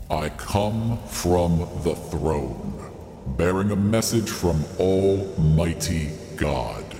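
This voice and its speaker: Over loud background noise and a clear echo, a man uses a put-on character voice at a very slow pace. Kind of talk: prophetic pronouncement. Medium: audio drama. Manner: solemn, grave.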